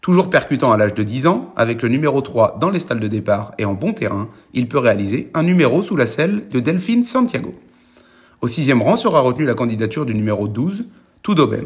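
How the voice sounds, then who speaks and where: The voice swings very widely in pitch. It sounds somewhat breathy. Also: man, medium pitch for a man. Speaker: racing tipster. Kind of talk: scripted horse-racing tips read out in a steady presenter style. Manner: brisk, even and businesslike, running through the horses one by one.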